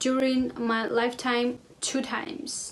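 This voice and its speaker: Noticeable background noise sits under the voice. The speaker has a non-native accent and fairly even intonation. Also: woman. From Russia, Armenian family. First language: Russian or Armenian. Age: 20s. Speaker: lifestyle vlogger. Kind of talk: casual vlog talk to camera.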